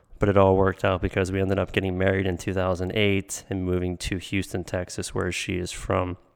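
A man with an American accent, fairly low pitch, and moderate pace, on a very clean recording with a silent background. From Pittsburgh, Pennsylvania. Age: 30s. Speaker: podcast host. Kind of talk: casual monologue.

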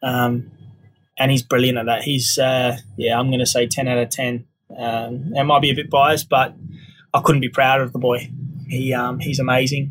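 A man with an Australian accent, medium in pitch, monotone and flat, at a moderate pace. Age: 30s. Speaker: podcast host. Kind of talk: casual monologue. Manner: halting, many fillers.

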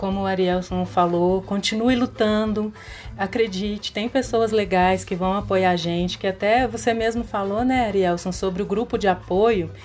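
Against noticeable background noise, a woman speaks at a moderate pace with a medium pitch and fairly even intonation. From Belo Horizonte, Minas Gerais, Brazil. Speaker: biologist. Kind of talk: casual chat.

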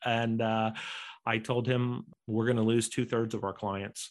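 At a moderate pace, a man with an American accent speaks at a medium pitch in a monotone, flat way. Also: quiet background. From United States. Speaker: entrepreneur and author. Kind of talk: podcast interview.

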